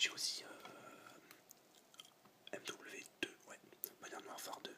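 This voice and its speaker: Someone whispers at a fairly slow pace with noticeable background noise behind them. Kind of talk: ASMR video game collection presentation. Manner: whispered.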